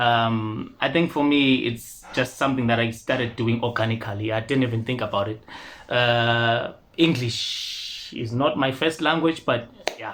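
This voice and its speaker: Keeping his intonation fairly even, a man at a medium pitch speaks at a fairly slow pace. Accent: Ndebele. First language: Ndebele. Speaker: rapper and singer. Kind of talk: interview. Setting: studio.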